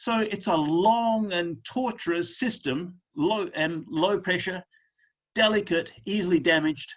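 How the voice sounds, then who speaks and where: At a fairly slow pace, a man with an Australian accent speaks with very wide pitch swings. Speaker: lymphedema specialist presenter. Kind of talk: webinar presentation.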